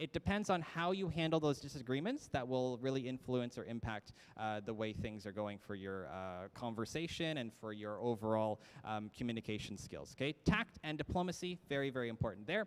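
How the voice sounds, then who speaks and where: A man with a Canadian accent talks at a fairly quick pace in a medium pitch, with lively intonation and hardly any pauses. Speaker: college staff presenter. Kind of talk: orientation presentation. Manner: fast.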